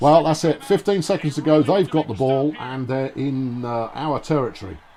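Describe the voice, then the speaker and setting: A man with a fairly high pitch and ordinary pitch variation talks at a fairly slow pace over noticeable background noise. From England, Suffolk. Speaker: video game streamer. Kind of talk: casual live-stream chat with gameplay commentary. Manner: animated, hesitant with many fillers.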